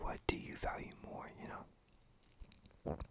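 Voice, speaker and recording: A woman is whispering. There is noticeable background noise. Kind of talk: ASMR asking the listener questions. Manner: whispered, up close; chill, relaxed.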